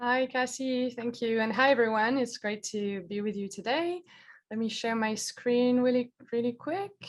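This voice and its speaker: The recording is very clean, with a silent background. A woman speaks at a high pitch. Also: ordinary pitch variation, moderate pace. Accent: French. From France. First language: French. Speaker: climate researcher. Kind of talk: educational presentation.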